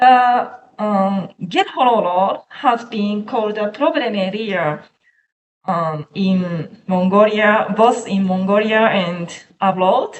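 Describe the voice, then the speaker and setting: At a very slow pace, a woman with a Japanese accent speaks at medium pitch with ordinary pitch variation. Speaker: researcher. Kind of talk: academic presentation. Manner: halting.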